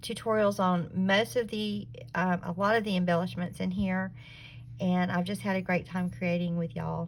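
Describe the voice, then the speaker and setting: Somewhat breathy, a woman with a Southern US accent speaks at a moderate pace and medium pitch with lively intonation. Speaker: craft YouTuber. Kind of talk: casual video tutorial / show-and-tell.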